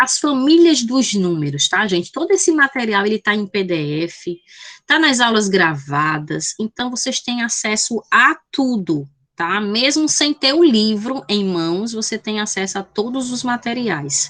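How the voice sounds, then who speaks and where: A woman's fairly high voice at a fairly slow pace, swinging very widely in pitch. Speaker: math teacher. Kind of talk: online lecture. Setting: video call.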